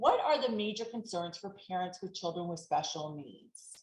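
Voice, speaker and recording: Here a woman speaks at medium pitch. Her voice is somewhat breathy. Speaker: elder law attorney. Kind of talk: webinar presentation. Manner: fast.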